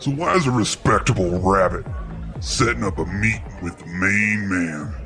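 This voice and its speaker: A man puts on a character voice, pitched fairly low. He keeps a moderate pace over clear music in the background. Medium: read story. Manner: gruff, swaggering.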